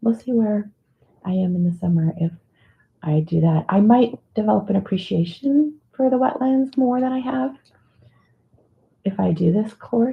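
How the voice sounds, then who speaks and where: Mumbling and somewhat breathy, a woman speaks at a moderate pace with lively intonation. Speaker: livestream host, mandala drawing group leader. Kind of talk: casual livestream chat. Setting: live video stream.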